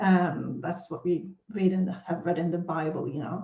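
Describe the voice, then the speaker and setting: A woman's somewhat breathy, dark, mellow voice in a Swedish accent, at a fairly slow pace. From Sweden. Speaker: spiritual teacher. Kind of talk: teaching monologue. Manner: hesitant with fillers.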